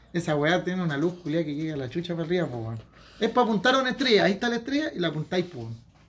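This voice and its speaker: A very fast, high-pitched man's voice in a Chilean accent, full of very wide pitch swings. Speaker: podcast guest. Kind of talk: casual chat.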